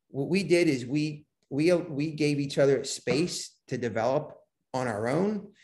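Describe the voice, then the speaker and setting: The man's voice is fairly high-pitched and comes across somewhat breathy. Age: 50s. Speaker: business coach and mentor. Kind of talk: podcast interview.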